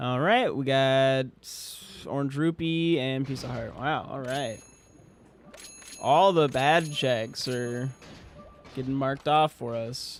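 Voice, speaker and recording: A man speaks quietly and at a very slow pace, his tone relaxed and his intonation fairly even. Long, frequent pauses break up his speech over noticeable background noise. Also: medium pitch for a man. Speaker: gaming streamer. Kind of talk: live gameplay commentary. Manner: quiet, low-key; casual, relaxed.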